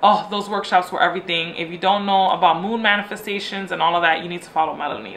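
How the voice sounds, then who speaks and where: Over noticeable background noise, a woman speaks at a very fast pace in an animated tone, her medium pitch showing ordinary variation. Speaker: lifestyle vlogger. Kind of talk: casual chat.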